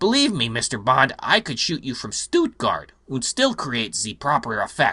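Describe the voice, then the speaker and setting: Using a put-on character voice, a man with a fairly high pitch talks at a moderate pace with hardly any pauses. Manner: smug, menacing.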